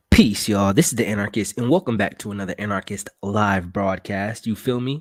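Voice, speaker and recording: Quietly, a man speaks at a fairly low pitch and a fairly quick pace. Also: ordinary pitch variation. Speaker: political commentary streamer. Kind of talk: live broadcast monologue. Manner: quiet, talking low.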